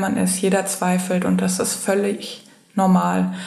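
Medium pitch from a female speaker, with audible room echo and noticeable background noise. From Germany, Frankfurt. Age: 20s. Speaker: university student. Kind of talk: interview.

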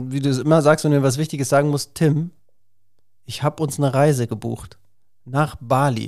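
A man with a plain, everyday voice, fairly high for a man, talks at a fairly quick pace with ordinary pitch variation on a very clean recording with a silent background. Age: 40s. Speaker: podcast host talking with his ill mother. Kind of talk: casual family conversation.

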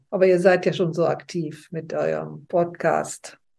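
A woman's dark, mellow voice, fairly low in pitch, with vocal fry. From West Germany, early years near Leipzig. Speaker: interview guest sharing life story. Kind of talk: interview, personal life story. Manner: halting, with frequent fillers.

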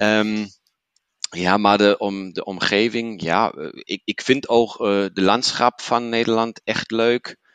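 In a dry, close recording with no echo, a man speaks very slowly in a monotone, flat delivery. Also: medium pitch for a man. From Germany, Paderborn. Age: 30s. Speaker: business manager and Netherlands enthusiast. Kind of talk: casual interview chat. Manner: hesitant with many fillers.

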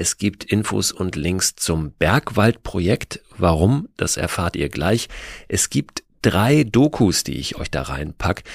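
Recorded very clean with a silent background and a dry, close sound with no echo, a man speaks at a very slow pace in a very deep, low pitch with vocal fry and very wide pitch swings. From Hamburg, Germany. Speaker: podcast host. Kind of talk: scripted narration.

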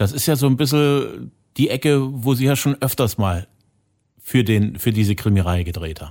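Long, frequent pauses break up this man's speech, which has a medium pitch, a moderate pace and lively intonation. The recording is very clean, with a silent background. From Saxony. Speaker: podcast host. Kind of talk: interview conversation.

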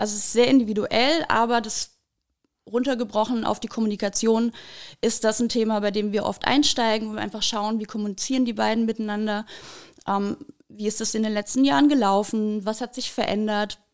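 This is a woman with an ordinary speaking voice, talking at a fairly quick pace with fairly even intonation. The recording is very clean, the background silent. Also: fairly high pitch for a woman. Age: 30s. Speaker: couples counselor. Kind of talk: podcast interview.

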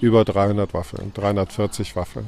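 A man's fairly low voice in a flat, monotone delivery. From Cologne, Germany. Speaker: street food vendor. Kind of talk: casual interview. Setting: outdoor weekly market.

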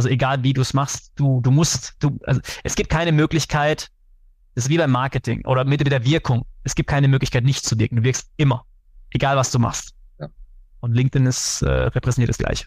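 A man's medium-pitched, somewhat breathy voice, monotone and flat, at a fairly quick pace. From Germany, Karlsruhe. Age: 30s. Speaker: sales executive. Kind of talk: interview. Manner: hesitant with many fillers.

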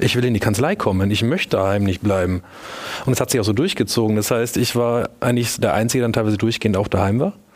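A man's medium-pitched voice races at a very fast pace, with ordinary pitch variation and very even loudness. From Lower Franconia, Germany (near Würzburg). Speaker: lawyer, law firm partner. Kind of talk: panel discussion. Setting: stage.

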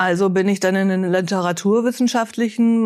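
A woman with an ordinary speaking voice speaks at a moderate pace and medium pitch on a very clean recording with a silent background. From Bielefeld, eastern Westphalia. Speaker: head of a welfare association. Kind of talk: interview.

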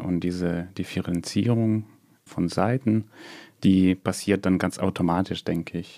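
Delivered at a very slow pace with fairly even intonation, the voice sits in a very clean, dry, close recording with no echo and a silent background. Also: man. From Odessa, Ukraine. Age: 30s. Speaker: doctoral researcher and student exchange coordinator. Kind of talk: casual interview discussion. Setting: studio.

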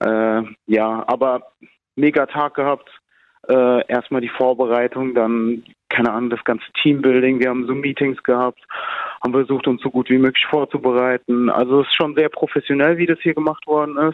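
This man has an unremarkable speaking voice pitched in the medium range. His intonation stays fairly even at a moderate pace. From Germany. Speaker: amateur footballer, national team player. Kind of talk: interview.

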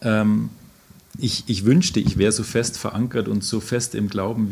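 The pace of this man's speech is moderate. His pitch sits fairly low. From Oberammergau, Upper Bavaria, Germany. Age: 40s. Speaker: psychologist and passion play actor. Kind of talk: interview. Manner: hesitant, with fillers and repetitions.

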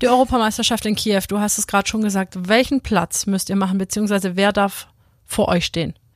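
On a very clean recording with a silent background and dry, close sound with no echo, a woman speaks in a plain, everyday voice at medium pitch, with fairly even intonation and a fairly quick pace. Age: 30s. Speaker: podcast host, former handball player. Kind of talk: casual interview.

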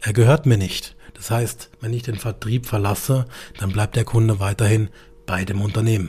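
Speaking at a moderate pace, a man uses a fairly low pitch and fairly even intonation. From Karlsruhe, southern Germany. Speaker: insurance broker podcast host. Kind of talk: monologue storytelling.

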